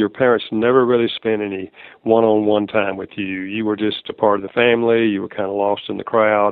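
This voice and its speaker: In a Southern US accent, a man with a fairly low voice talks at a fairly quick pace with a monotone, flat intonation. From US South. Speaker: author and marriage counselor. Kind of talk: interview.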